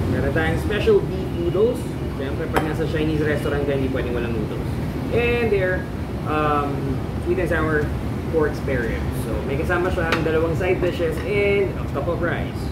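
A man keeps a moderate pace while loud background noise plays. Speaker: food vlogger host. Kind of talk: casual vlog chat. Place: cafe. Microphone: camera far.

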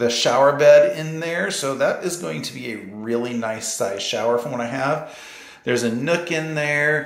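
A man talks at a moderate pace, his pitch varying in an ordinary way, with audible room echo around him. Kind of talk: casual vlog chat. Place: bathroom. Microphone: phone near.

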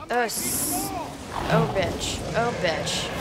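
Noticeable background noise sits behind a woman speaking in a playful tone. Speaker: gaming YouTuber. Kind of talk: live gaming commentary. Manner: casual, chatty, playful banter with the game.

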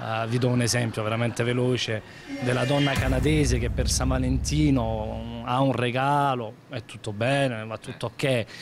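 A man's moderate-paced speech sits over noticeable background noise. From Naples, Italy; Italy. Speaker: comedian. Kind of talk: interview. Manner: animated. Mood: upbeat, animated. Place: shop. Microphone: handheld.

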